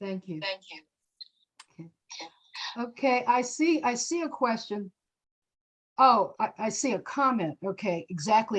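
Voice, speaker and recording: Speaking in a normal speaking voice at a fairly slow pace, the voice has lively intonation and big swings in loudness. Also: woman. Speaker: political action committee co-chair presenting a legislative update. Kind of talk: informational slideshow presentation to an online audience. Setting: video conference call.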